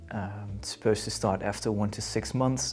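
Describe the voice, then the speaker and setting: In a Dutch accent, a man speaks with a fairly low pitch. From Netherlands. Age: 30s. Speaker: vlogger. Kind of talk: casual chat. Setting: indoors on a couch. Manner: laid-back, halting.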